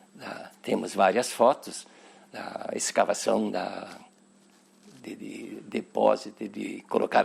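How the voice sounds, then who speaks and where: A man's very slow delivery amid noticeable background noise. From southern Brazil, Nova Petrópolis, Rio Grande do Sul. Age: 80s+. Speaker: cooperative member interviewed about its history. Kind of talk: oral history interview. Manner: halting, with repetitions.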